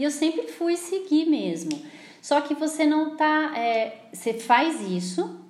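Through noticeable background noise, a woman speaks at a very slow pace with a high pitch and very wide pitch swings. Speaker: therapist. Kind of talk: casual chat. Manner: talkative.

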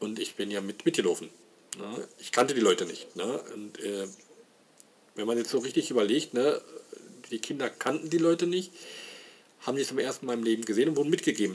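Fairly quick, lively speech from a man with a medium pitch, broken by long, frequent pauses. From Saxony, Leipzig. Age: 40s. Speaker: podcaster. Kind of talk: personal monologue. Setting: home. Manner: halting.

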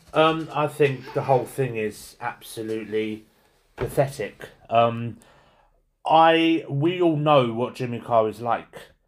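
The speech moves at a very slow pace with ordinary pitch variation. The recording is very clean, and the background is silent. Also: man, medium pitch for a man. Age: 30s. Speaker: podcast co-host. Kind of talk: casual chat.

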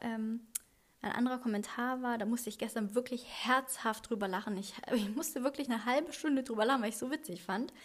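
A woman's high-pitched voice moves with ordinary pitch variation. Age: 30s. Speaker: podcast host. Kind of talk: solo podcast monologue. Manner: hesitant with frequent fillers.

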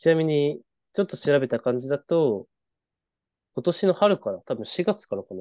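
A man speaks at a moderate pace with long, frequent pauses, his dark, mellow voice sitting fairly high for a man, swinging very widely in pitch and heavily in loudness, recorded dry and close with no echo. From northern Japan (Tohoku), Hachinohe, Aomori. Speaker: podcast co-host. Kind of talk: casual chat. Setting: video call.

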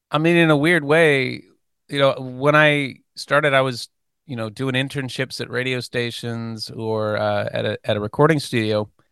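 A man with a plain, everyday voice speaks at a medium pitch with ordinary pitch variation against a quiet background. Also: moderate pace. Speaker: podcast host. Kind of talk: casual interview chat. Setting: video call.

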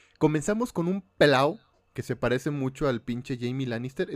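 A man with a fairly high-pitched voice keeps to a moderate pace. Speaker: podcast host. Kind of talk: casual chat recapping a film. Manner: animated.

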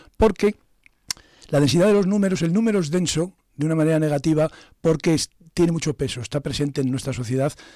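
At a very fast pace, a man speaks in a dark, mellow tone with ordinary pitch variation. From Zamora, Spain. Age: 60s. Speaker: poet and retired philosophy teacher. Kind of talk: radio interview. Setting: studio.

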